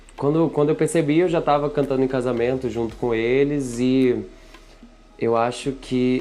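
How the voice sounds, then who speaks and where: The voice moves at a moderate pace. Music plays in the background. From Brazil, Maranhão (São Luís). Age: 20s. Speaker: singer-songwriter. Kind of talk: interview. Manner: hesitant, with fillers.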